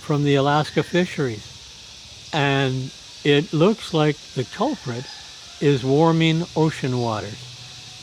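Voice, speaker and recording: A man speaks at a fairly high pitch with ordinary pitch variation. Noticeable background noise runs underneath. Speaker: vlogger. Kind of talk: casual monologue. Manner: slurred speech; halting.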